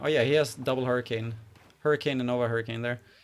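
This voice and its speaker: This man's voice sits at a medium pitch. He speaks with a Swedish accent. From Sweden. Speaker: game community manager and streamer. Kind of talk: live stream commentary. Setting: live stream with webcam. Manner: casual, halting with fillers.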